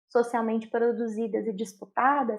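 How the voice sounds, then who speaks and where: A woman's high-pitched voice at a moderate pace. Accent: Minas Gerais. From Minas Gerais, Brazil. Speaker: inclusive education speaker. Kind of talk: interview.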